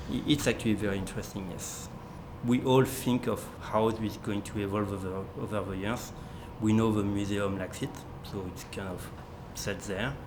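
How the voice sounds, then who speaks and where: Audible room echo around a fairly low-pitched man with a French accent, fairly even intonation and long, frequent pauses. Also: moderate pace. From France. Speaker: model railroad volunteer, automation maintainer. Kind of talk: documentary interview.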